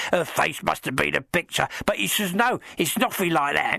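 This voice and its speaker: A man's put-on character voice, croaky and high-pitched, at a moderate pace. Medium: audio drama. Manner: rambling, deferential, dropped grammar.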